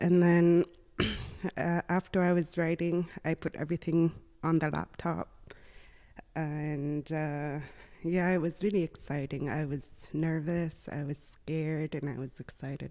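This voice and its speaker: A woman talks in a dark, mellow tone with a very deep, low pitch and monotone, flat intonation. Her pace is fairly slow, with long, frequent pauses, on a very clean recording with a silent background. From Nunavik, northern Quebec (Inuit). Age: 20s. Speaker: dental assistant, former university student. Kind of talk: podcast interview.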